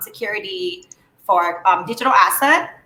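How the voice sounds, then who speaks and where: A woman with a Thai accent at a fairly slow pace. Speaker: moderator of company livestream. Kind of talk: live Q&A moderation. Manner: hesitant, many fillers.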